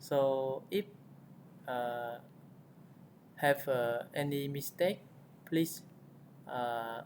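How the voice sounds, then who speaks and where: A man with a non-native accent and a fairly high pitch speaks at a very slow pace, with long, frequent pauses and ordinary pitch variation. Noticeable background noise runs beneath him. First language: not English. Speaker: tech tutorial youtuber. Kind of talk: tutorial. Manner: halting, frequent fillers.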